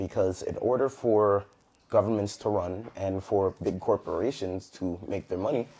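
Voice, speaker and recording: A man's dark, mellow voice at a moderate pace. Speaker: entrepreneur. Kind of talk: casual chat.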